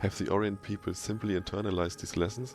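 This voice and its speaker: Over music in the background, a man with a German accent speaks with ordinary pitch variation. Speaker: gaming video creator. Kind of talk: reading in-game lore texts aloud.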